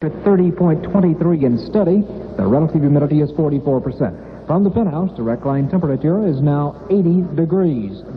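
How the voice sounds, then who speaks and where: Against noticeable background noise, a man with a fairly high pitch talks at a fairly quick pace, his intonation lively and his loudness very even. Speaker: radio newscaster and sports announcer. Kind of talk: radio news and sports report read. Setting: vintage 1967 AM radio broadcast.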